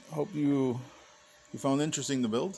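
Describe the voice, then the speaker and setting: A man is speaking. His pace is fairly quick. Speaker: 3D printing hobbyist. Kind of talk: casual video update. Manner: hesitant, many fillers; fast.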